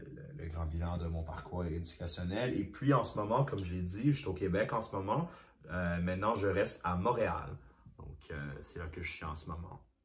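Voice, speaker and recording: A man's very deep, low pitch with lively intonation and big swings in loudness, amid audible room echo and noticeable background noise. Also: moderate pace. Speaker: singer, former youth association president. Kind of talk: interview testimony. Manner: halting, many repetitions.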